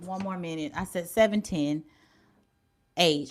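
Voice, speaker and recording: A woman in an animated tone. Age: 40s. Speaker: YouTube livestreamer. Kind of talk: casual livestream chat reading viewer comments.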